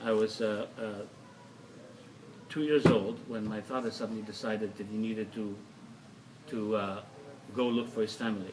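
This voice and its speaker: Over noticeable background noise, a man with a fairly low voice talks at a moderate pace in monotone, flat intonation, leaving long, frequent pauses. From Soviet Union, Kazakhstan. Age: 60s. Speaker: artist. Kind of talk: casual chat. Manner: halting.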